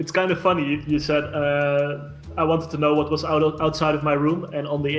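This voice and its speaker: Speaking at a fairly quick pace with a Dutch accent, a man with a fairly high pitch keeps a monotone, flat intonation over audible room echo and noticeable background noise. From Netherlands. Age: 30s. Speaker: digital designer, agency owner. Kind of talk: casual chat. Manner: hesitant, many fillers.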